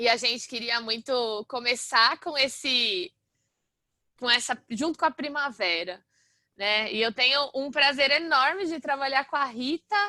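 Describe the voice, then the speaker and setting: Raised, projected voice with a bright, sharp tone, lively intonation, fairly slow pace and a quiet background. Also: woman, high pitch for a woman, dry, close sound with no echo. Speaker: university lecturer. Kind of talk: lecture. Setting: video call. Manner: loud.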